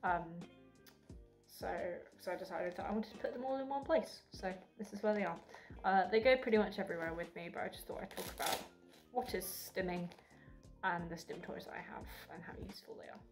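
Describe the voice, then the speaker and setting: A woman at a medium pitch with ordinary pitch variation, a fairly quick pace, long and frequent pauses, big swings in loudness, and music in the background. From Essex, England. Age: 20s. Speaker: university student. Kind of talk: casual talk to camera.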